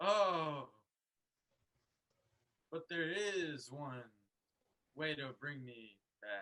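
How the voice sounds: Using a put-on character voice, a man speaks at a very slow pace with a fairly high pitch and long, frequent pauses.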